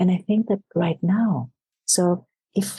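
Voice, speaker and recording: Recorded dry and close with no echo, a woman speaks in a fairly low pitch with vocal fry and a dark, mellow tone. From Greece. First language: Greek. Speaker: leadership coach. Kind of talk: podcast interview.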